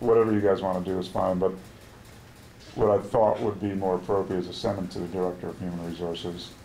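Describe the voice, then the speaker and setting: A man with an American accent speaks very fast in a very deep, low voice, his tone dark and mellow and his intonation monotone and flat. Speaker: union negotiator. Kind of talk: contract negotiation meeting. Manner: halting.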